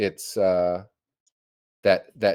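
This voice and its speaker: A man is heard in a very clean recording against a silent background. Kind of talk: casual chat.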